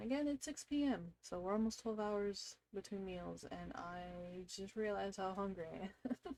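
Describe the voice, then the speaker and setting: A dark, mellow tone with ordinary pitch variation. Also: woman. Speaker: streamer. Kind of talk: casual chat.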